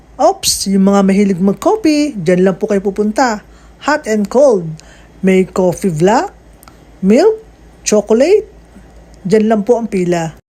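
Noticeable background noise is present throughout. The speaker goes at a fairly slow pace, with long, frequent pauses. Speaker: vlogger. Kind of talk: casual vlog narration. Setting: buffet restaurant. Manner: polite, frequent 'po'.

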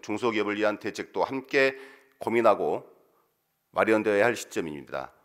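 The setting is quiet. A man speaks fairly quickly. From South Korea, South Jeolla (Muan). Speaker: provincial council member. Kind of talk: formal speech presenting a motion. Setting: council plenary session. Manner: formal. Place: hall. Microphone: podium.

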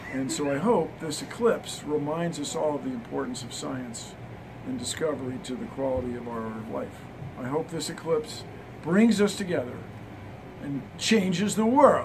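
Against noticeable background noise, the speech moves at a moderate pace with big swings in loudness. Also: man. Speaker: interviewee. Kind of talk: interview answer. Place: office. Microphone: handheld.

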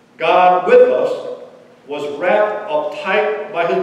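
A man talks with ordinary pitch variation in a room with strong echo.

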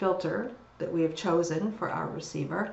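With audible room echo around her, a woman talks with ordinary pitch variation. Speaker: university lecturer. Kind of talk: lecture. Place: home room. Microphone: webcam.

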